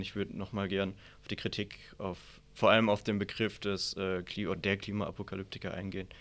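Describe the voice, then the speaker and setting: A man speaks at a fairly low pitch and a moderate pace, in a monotone, flat way. The recording is very clean, with a silent background. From Southern Palatinate, Germany. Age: 20s. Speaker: author and political science student. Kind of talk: debate.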